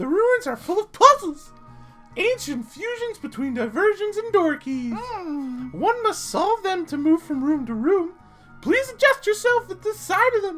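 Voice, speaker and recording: A woman uses a put-on character voice at an extremely high pitch with very wide pitch swings. Faint music plays in the background. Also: moderate pace. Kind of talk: archaic, formal. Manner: theatrical, ominous.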